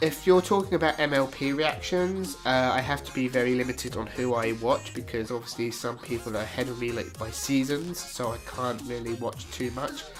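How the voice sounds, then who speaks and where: Over music in the background, a man with a British accent speaks at a moderate pace in a medium pitch with ordinary variation. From Britain. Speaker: YouTube reactor. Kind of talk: casual Q&A talk to camera.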